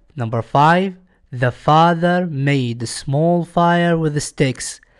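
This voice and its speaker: A man with an Iraqi accent and ordinary pitch variation. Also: quiet background. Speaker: English teacher. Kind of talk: tutorial. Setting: recorded lesson video.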